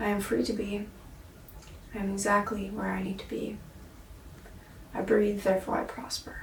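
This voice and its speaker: A woman speaks in a medium pitch with monotone, flat intonation. Long, frequent pauses break her speech amid noticeable background noise. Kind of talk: casual talk to camera, video-diary self-reflection. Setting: indoors, basement apartment. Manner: slow, reflective, contemplative.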